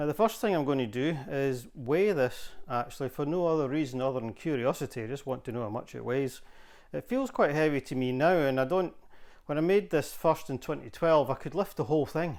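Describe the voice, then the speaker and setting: On a very clean recording with a silent background, a man with a plain, everyday voice talks at a fairly quick pace, fairly high in pitch, with ordinary pitch variation. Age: 60s. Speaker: woodworking hobbyist video maker. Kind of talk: workshop tutorial. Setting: home workshop. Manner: casual, conversational with fillers.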